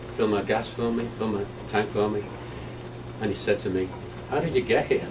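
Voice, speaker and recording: A man with a Liverpool accent, fairly low in pitch and fairly quick in pace, over noticeable background noise. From England, Liverpool. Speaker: person living with Alzheimer's. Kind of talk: testimony. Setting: staff training session. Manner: halting.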